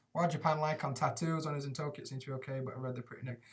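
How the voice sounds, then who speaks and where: With a Yorkshire accent, a man talks at a fairly high pitch in a somewhat breathy voice. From Sheffield, Yorkshire, England. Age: 30s. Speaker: English teacher in Japan. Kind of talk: casual live stream Q&A. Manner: casual, sweary, chatty.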